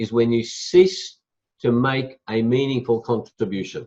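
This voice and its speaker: Against a quiet background, a man speaks with an Australian accent. His medium-pitched voice keeps a moderate pace. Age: 60s. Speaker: motivational speaker and executive coach. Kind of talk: interview.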